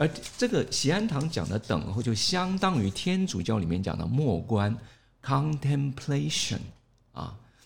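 Vocal fry runs through this man's speech. He talks at a fairly slow pace with very wide pitch swings. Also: medium pitch for a man. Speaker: pastor. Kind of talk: interview. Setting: studio.

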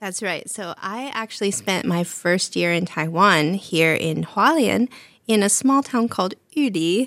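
In an ordinary speaking voice, a woman speaks at a fairly slow pace with lively intonation and a medium pitch. The recording is very clean, the background silent. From Canada. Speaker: English teacher. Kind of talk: casual chat.

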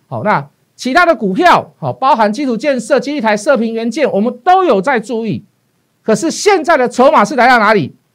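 With lively intonation, a man speaks at an extremely high pitch on a very clean recording with a silent background. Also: moderate pace. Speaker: stock market analyst. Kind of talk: investment talk show. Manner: hesitant with many fillers.

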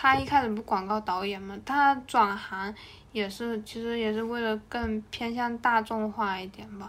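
A woman's normal speaking voice, fairly high in pitch, fairly slow, with fairly even intonation and big swings in loudness. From Hainan, China. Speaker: podcast co-host. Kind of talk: casual chat.

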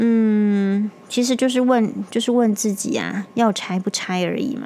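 Very slow, fairly high-pitched speech from a woman. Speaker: doctor podcast host. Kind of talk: casual monologue. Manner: calmer than usual.

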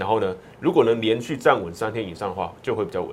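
A man at a fairly quick pace. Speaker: stock market analyst. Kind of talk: market analysis in a talk show. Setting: radio studio.

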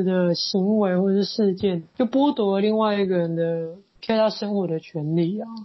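The speaker talks at a moderate pace with fairly even intonation. The voice is somewhat breathy. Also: woman. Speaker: podcast host, social worker. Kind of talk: interview.

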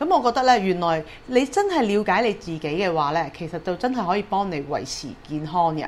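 A woman talks at a moderate pace. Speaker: dream therapist and hypnotherapist podcast host. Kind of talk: solo podcast talk.

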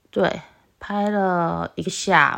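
Speaking very slowly, a woman lets her intonation rise and fall in a lively way. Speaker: solo podcast host. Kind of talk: casual monologue. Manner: loud.

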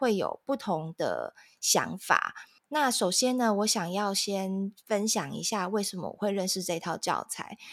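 In a very clean recording with a silent background, a woman with a Taiwanese accent speaks at a fairly slow pace, her medium pitch showing ordinary variation. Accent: Taiwanese Mandarin. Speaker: parenting podcast host. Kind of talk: casual chat.

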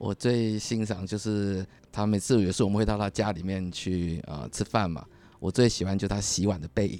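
This man's tone is dark and mellow, with fairly even intonation. He talks at a fairly quick pace. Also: fairly low pitch for a man. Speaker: businessman, husband. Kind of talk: casual interview chat.

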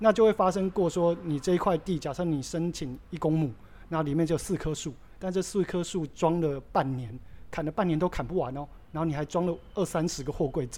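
A man's high-pitched voice with a dark, mellow tone at a fairly quick pace. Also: ordinary pitch variation. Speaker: craft brewery co-founder. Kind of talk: casual interview.

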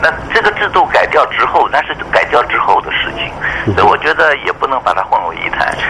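Fairly fast talking is heard with noticeable background noise behind it. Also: man. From mainland China, moved to Taiwan as a teen. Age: 70s. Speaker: retired air force general and meteorologist. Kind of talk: radio interview.

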